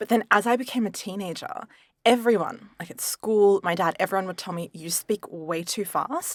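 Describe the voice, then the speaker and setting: The speaker, with an Australian accent, talks at a moderate pace with ordinary pitch variation, in a dry, close sound with no echo. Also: woman. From Italian background. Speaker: podcast co-host. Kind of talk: casual chat.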